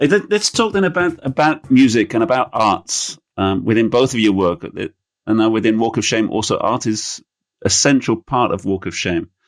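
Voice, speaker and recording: A man with an English accent speaks at a medium pitch with lively intonation on a very clean recording with a silent background. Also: moderate pace. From England. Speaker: podcast host. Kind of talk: interview. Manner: halting.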